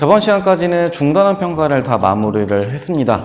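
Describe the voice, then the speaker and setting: A man's fairly high voice at a fairly quick pace, with very wide pitch swings and audible room echo. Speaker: school science teacher. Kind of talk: lecture. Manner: hesitant fillers.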